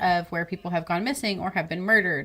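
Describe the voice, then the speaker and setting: A woman with a Texan accent and a fairly low pitch. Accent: Texan accent (self-described as horrible). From Texas. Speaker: true crime podcast co-host. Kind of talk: casual live-stream chat. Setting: live stream video call.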